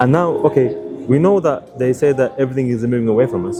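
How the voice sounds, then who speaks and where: With music in the background, a man talks at a very fast pace. His medium pitch shows ordinary variation. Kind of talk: conversation with a stranger, religious discussion.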